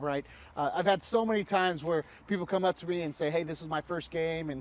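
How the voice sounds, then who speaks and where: Very fast and fairly high-pitched, a man talks with fairly even intonation on a very clean recording with a silent background. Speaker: team director of community and entertainment and public address announcer. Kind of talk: interview answer. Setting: ballpark grandstands and press box.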